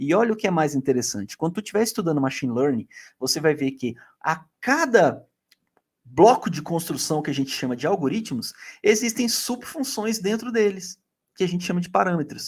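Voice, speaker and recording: A man's high-pitched voice with very wide pitch swings at a fairly quick pace, on a very clean recording with a silent background. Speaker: data science youtuber. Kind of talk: educational talk to camera. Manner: casual slangy.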